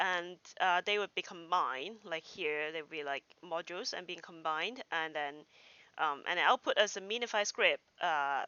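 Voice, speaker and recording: Woman with a Cantonese accent and lively intonation. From Hong Kong. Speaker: software developer streamer. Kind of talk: live coding tutorial. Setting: home livestream. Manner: halting, many fillers.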